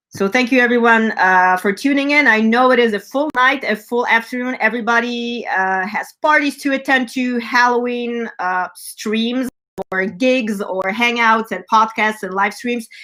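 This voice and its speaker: With an American accent, a woman speaks at a fairly high pitch in a bright, sharp tone. Her pace is moderate, her pitch variation ordinary, and she hardly pauses. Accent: slight German accent at times. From California. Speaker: rock band front woman and show host. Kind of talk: live stream announcements. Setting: online live stream. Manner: animated, many filler words.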